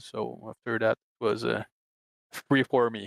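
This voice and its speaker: A man with a Quebec accent at a fairly slow pace, fairly even in intonation, in a dry, close sound with no echo. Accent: Québécois French. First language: French. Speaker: sim racing driver. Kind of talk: post-race interview. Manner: halting, many hesitations.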